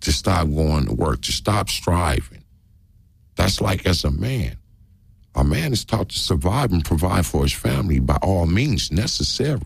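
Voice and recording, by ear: With vocal fry and a slightly husky edge, a man talks fairly slowly in a low voice that makes big pitch swings.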